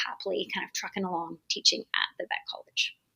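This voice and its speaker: The speaker talks at a very fast pace with a slight British accent, in a dry, close sound with no echo. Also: woman. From UK. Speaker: veterinary dermatologist and professor. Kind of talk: podcast interview.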